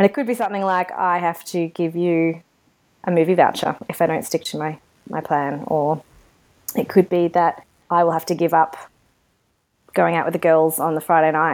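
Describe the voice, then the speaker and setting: Here is a woman with an Australian accent and a fairly low pitch. She moves at a moderate pace with long, frequent pauses. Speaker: podcast co-host. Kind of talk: casual chat. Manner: animated.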